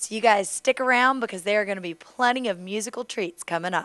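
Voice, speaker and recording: A woman speaks at a very fast pace with a fairly high pitch and a bright, sharp tone. Her pitch variation is ordinary, and the background is quiet. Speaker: TV show host. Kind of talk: TV show interview.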